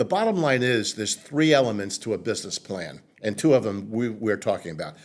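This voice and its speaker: A man with a New York accent, medium pitch and lively intonation, at a fairly quick pace, on a very clean recording with a silent background. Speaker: marketing consultant. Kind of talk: interview. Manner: halting.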